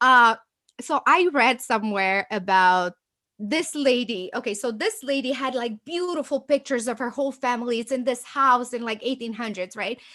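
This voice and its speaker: A woman's animated, bright and sharp voice, high in pitch with ordinary pitch variation, at a moderate pace in a slight Romanian accent over a quiet background. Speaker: agency owner. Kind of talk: interview.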